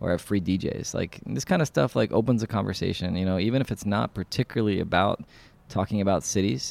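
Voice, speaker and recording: Recorded very cleanly against a silent background, a man with a New York accent talks at a fairly quick pace, the sound dry and close with no echo. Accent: New York American. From New York City. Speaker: landscape architect and nonprofit founder. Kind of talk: interview monologue. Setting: community space. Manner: casual with frequent fillers.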